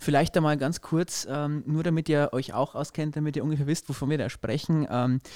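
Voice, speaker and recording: A man's fairly high-pitched, ordinary speaking voice at a moderate pace with hardly any pauses and fairly even intonation, the sound dry and close with no echo on a very clean recording with a silent background. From Upper Palatinate, Bavaria. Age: 20s. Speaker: newspaper editor, podcast co-host. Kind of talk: casual conversational podcast.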